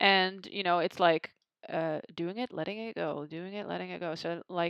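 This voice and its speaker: This woman has a non-native accent. She talks at a fairly slow pace and a fairly low pitch. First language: not English. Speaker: photographer. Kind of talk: tutorial. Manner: casual, with hesitations.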